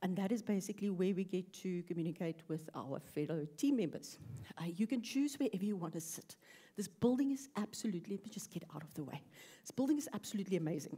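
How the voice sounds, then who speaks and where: A woman speaks very fast with lively intonation, her medium-pitched voice somewhat breathy and dark and mellow in tone. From South Africa. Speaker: UX researcher. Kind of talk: conference talk. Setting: stage with audience.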